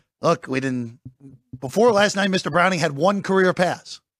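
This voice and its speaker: A man with an ordinary speaking voice at a moderate pace, in a dry, close sound with no echo. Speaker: sports betting show host. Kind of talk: casual sports betting talk. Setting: studio.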